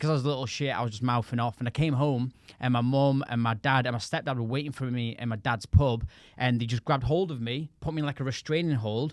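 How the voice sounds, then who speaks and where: Speaking at a very fast pace, this man has a medium pitch, and the sound is dry and close with no echo. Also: fairly even intonation, very clean recording, silent background. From northern England, Blackpool. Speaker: DJ and music producer. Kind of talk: casual podcast interview.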